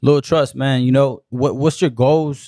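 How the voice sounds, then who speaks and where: A man speaks fairly quickly with an American accent, at medium pitch. He has an ordinary speaking voice. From Los Angeles, South Central. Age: 30s. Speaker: podcast host and photographer. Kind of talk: casual interview chat. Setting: studio.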